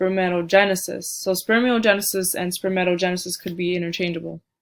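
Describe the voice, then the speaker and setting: A woman is talking. Her pitch is medium. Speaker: student giving a class presentation. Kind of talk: recorded slide presentation. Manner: halting, with frequent fillers and restarts.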